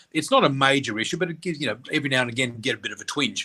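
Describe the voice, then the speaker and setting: A man talks very fast in an Australian accent. His tone is bright and sharp. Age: 60s. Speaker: psychic and spiritual teacher. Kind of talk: interview. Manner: animated storytelling.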